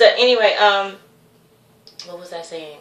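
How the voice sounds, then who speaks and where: A woman's voice comes with audible room echo. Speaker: vlogger. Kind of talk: casual vlog monologue. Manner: rambling, self-interrupting; animated.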